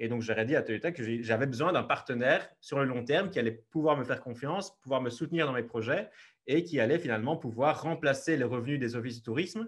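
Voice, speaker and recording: The voice moves at a very fast pace with ordinary pitch variation against a quiet background. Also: man, fairly high pitch for a man. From Belgium, Liège region; Belgium. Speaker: travel photographer; podcast guest. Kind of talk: interview. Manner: hesitant, many fillers. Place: home room. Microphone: earbuds.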